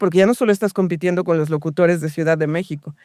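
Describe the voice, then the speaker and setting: A woman's voice is captured with a dry, close sound and no echo. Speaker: radio host and voice actor. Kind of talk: interview answer.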